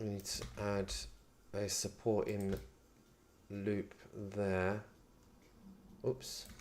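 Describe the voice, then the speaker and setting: A man with a British accent talks very slowly in a fairly low, flat monotone. He leaves long, frequent pauses. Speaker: 3D modelling streamer. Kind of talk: live tutorial.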